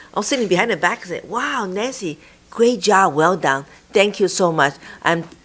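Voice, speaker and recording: A woman talks at a fairly quick pace with lively intonation over noticeable background noise. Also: big swings in loudness. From immigrant to US. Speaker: school board president chairing meeting. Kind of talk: board meeting chairing. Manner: halting.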